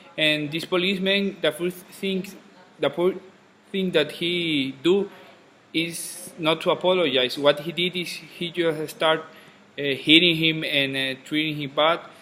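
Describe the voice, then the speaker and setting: Fairly slow, fairly evenly intoned speech over noticeable background noise. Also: man, fairly high pitch for a man. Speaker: student. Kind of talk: class discussion in English. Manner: halting.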